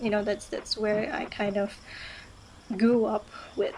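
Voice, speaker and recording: Fairly high female speech against noticeable background noise. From Malaysia (Johor). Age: 20s. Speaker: beauty pageant queen. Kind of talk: live talk show monologue. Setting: live stream from home. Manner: casual, hesitant with fillers.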